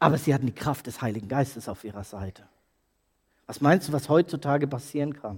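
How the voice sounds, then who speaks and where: A man with a fairly high, somewhat breathy voice speaks at a fairly quick pace in an animated tone, with ordinary pitch variation and big swings in loudness. His long, frequent pauses stand out in a very clean recording with a silent background. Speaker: preacher. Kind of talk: sermon. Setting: church. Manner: urgent, emphatic preaching, pressing and challenging the congregation; animated, rhetorical questions, pauses for effect, calls for commitment.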